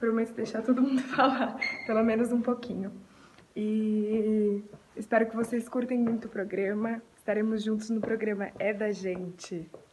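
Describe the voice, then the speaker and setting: A woman talks at a fairly high pitch with monotone, flat intonation. Noticeable background noise runs under her voice. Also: moderate pace. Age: 20s. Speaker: tv show co-host. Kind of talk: self-introduction video. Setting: at home.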